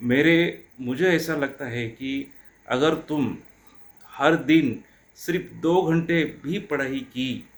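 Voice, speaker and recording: A man with a Marathi accent, fairly high pitch and ordinary pitch variation. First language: Marathi (speaking Hindi). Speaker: teacher. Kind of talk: motivational talk.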